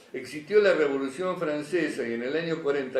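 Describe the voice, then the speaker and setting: Moderate pace from a man, with audible room echo and noticeable background noise. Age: 60s. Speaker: public health speaker / panelist. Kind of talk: panel talk at a magazine presentation. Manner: halting, many fillers and restarts.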